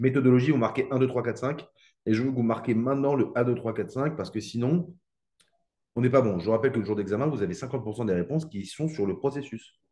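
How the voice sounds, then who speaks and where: Talking at a very fast pace, a man has a medium pitch and ordinary pitch variation. His tone is dark and mellow. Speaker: economics teacher. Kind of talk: live online exam-prep class. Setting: live stream with chat.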